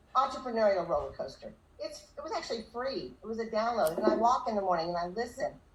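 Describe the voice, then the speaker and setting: Noticeable background noise and audible room echo surround a woman who speaks at a very fast pace. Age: 60s. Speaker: direct sales leader. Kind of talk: motivational talk.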